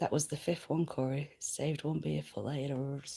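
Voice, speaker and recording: On a very clean recording with a silent background, a woman speaks with a very deep, low pitch and a somewhat breathy sound. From Lancashire, northern England. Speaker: livestreamer. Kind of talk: casual chat reading comments. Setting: at home, livestream. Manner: halting, many fillers.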